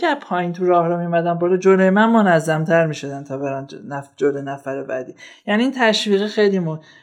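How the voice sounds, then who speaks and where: A man's high-pitched voice at a very fast pace. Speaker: software developer. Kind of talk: casual interview conversation. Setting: studio.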